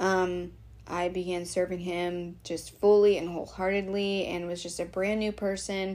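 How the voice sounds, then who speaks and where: Audible room echo surrounds a woman speaking at a moderate pace. Her medium-pitched voice is monotone and flat. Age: 30s. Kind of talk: casual monologue. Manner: hesitant, many fillers.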